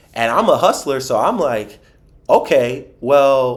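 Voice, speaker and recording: Speaking with a Philadelphia accent, a man uses a fairly high pitch, lively intonation and an animated tone. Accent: Philadelphia American English. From Philadelphia, US. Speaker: financial advisor. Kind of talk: podcast interview.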